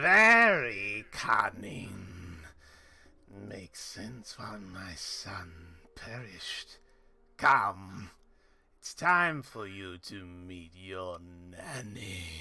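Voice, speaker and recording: A man's raspy, put-on character voice, fairly low in pitch, at a very slow pace. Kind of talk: menacing. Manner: sinister, cunning.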